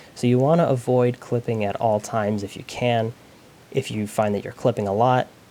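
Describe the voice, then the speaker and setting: A man talks at a moderate pace with fairly even intonation. His tone is dark and mellow. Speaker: music student giving a software tutorial. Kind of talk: tutorial. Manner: casual with many fillers.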